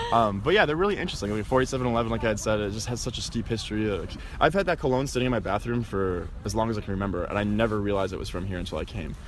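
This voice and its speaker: Over noticeable background noise, a man with a fairly low voice talks very fast with hardly any pauses and ordinary pitch variation. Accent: American. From US Midwest, Wisconsin (small town). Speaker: tour guide. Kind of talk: casual interview. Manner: casual, filler-heavy.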